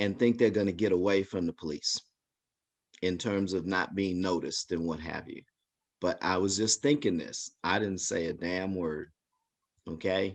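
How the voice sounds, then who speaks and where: The speaker talks at a moderate pace with fairly even intonation and long, frequent pauses over a quiet background. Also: man, very deep, low pitch for a man. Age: 60s. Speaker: community member sharing personal story. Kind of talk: testimony.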